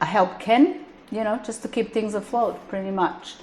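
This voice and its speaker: A woman speaks with a non-native accent. Her pitch is medium, with ordinary variation. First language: not English. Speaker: business manager and accountant. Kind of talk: shop tour.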